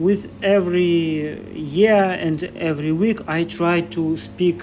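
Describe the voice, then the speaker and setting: In a Russian accent, a man with a fairly high pitch and ordinary pitch variation speaks at a very slow pace while music plays in the background. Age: 30s. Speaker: vlogger. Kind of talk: walking vlog. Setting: outdoors. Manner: halting non-native English.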